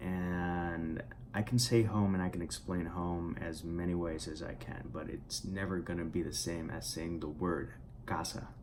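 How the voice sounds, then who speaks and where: A man speaks at a fairly slow pace with a very deep, low pitch. The room echo is audible. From Puerto Rico. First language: Spanish. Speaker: writer and vlogger. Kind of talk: casual vlog monologue. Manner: halting, many fillers and repetitions.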